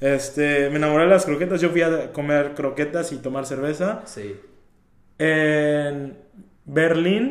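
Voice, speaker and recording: A man's fairly high-pitched voice at a very slow pace, with ordinary pitch variation and audible room echo. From Mexico, Veracruz. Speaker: photographer. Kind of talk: casual interview chat.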